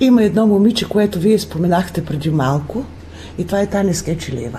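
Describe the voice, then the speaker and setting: A woman with a fairly low voice and lively intonation at a moderate pace, long, frequent pauses, and noticeable background noise. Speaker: folk group leader and music teacher. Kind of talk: radio interview. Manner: animated.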